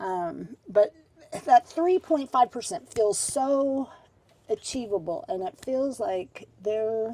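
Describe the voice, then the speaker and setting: A woman's fairly high, dark, mellow voice at a very slow pace, with very wide pitch swings, big swings in loudness, and a dry, close sound with no echo. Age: 60s. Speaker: urban farm event space owner. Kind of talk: casual chat. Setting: live stream.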